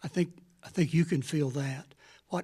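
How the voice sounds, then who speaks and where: Somewhat breathy speech at a moderate pace with an American accent. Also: man. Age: 70s. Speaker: ice cream vendor. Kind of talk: public comment at a forum. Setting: public meeting.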